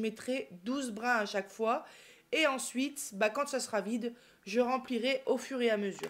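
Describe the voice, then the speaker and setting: Ordinary pitch variation in a woman's voice set at a high pitch. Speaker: cross-stitch YouTuber. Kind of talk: casual tutorial. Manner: hesitant, filler words.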